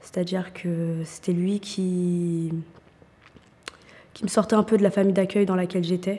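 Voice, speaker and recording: A woman's medium-pitched, somewhat breathy voice with a dark, mellow tone, flat monotone delivery, fairly slow pace and long, frequent pauses. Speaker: young volunteer in a job-training programme. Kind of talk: testimony.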